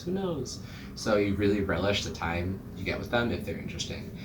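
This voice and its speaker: A man's fairly low voice at a fairly quick pace over noticeable background noise. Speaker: TV show reviewer. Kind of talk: casual talk to camera.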